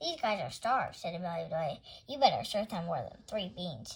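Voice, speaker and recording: A woman's put-on character voice at a medium pitch, delivered at a fairly quick pace. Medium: read story. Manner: earnest, literal.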